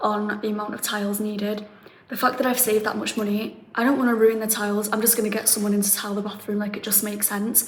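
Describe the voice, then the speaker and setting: A woman with a fairly high pitch speaks very fast in a flat monotone, with audible room echo and noticeable background noise. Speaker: renovation vlogger. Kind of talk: casual vlog.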